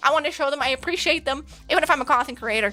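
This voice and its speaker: At a very fast pace, a woman's high, bright, sharp voice is raised and projected with ordinary pitch variation, on a very clean recording with a silent background. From Germany. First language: German. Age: 20s. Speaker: streamer and game developer. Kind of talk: casual livestream chat.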